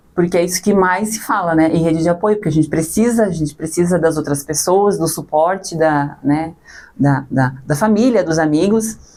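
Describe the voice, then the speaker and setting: Her voice has a dark, mellow tone and fairly low pitch, as this woman talks at a moderate pace with very even loudness and ordinary pitch variation. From Santa Catarina, southern Brazil. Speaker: mother and social media creator. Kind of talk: podcast interview.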